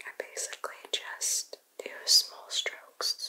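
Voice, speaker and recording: A soft-spoken woman whispers at a very slow pace. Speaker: ASMR content creator. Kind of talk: soft-spoken makeup tutorial chat. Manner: soft ASMR whisper, close mic. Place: home room.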